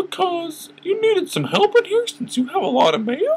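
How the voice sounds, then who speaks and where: An extremely high, squeaky put-on character voice at a moderate speed. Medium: read story. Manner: bright, eager.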